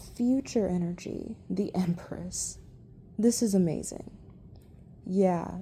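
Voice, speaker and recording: A woman speaks at a very slow pace with long, frequent pauses, her somewhat breathy voice dark and mellow in tone, with ordinary pitch variation. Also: medium pitch for a woman. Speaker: tarot reader. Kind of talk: tarot reading. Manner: casual, conversational.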